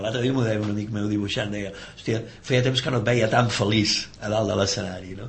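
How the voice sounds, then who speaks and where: At a moderate pace, a man with a fairly low voice talks with fairly even intonation, with audible room echo and noticeable background noise. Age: 50s. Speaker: musician. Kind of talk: casual chat.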